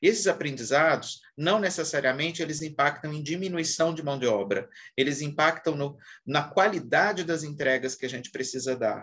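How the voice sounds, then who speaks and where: Using a normal speaking voice, a man with a fairly high pitch talks at a moderate pace with ordinary pitch variation. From Brazil, Minas Gerais. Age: 40s. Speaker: HR executive. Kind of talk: interview.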